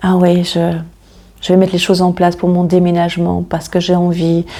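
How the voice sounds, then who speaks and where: The voice has a dark, mellow tone, a moderate pace and monotone, flat intonation. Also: woman. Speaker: tarot card reader. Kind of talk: tarot reading.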